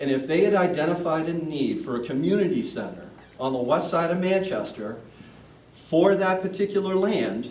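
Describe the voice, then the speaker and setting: Loud and high-pitched, a man speaks with ordinary pitch variation amid noticeable background noise and audible room echo. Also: moderate pace. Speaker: commercial real estate broker, community center board member. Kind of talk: public meeting Q&A. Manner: loud, projecting; hesitant, repeats words.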